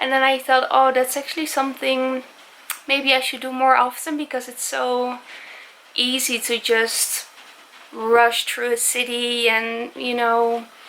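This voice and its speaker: Over noticeable background noise, a woman with a non-native accent speaks in a high, monotone, flat voice. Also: fairly slow pace. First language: not English. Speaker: travel vlogger. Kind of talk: casual vlog monologue. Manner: halting, many fillers.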